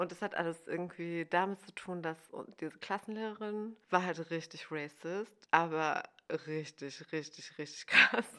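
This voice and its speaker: With a bright, sharp tone, a woman of fairly low pitch speaks in a fairly even intonation. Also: fairly slow pace, big swings in loudness. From Germany, village. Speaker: novelist and journalist. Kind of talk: casual chat.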